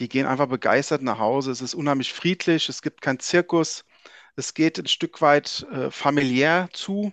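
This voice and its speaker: A man's plain, everyday voice, fairly high in pitch, at a moderate pace with ordinary pitch variation, in a dry, close sound with no echo against a quiet background. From Frankfurt, Hesse, Germany. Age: 40s. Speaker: ice hockey journalist. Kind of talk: casual chat.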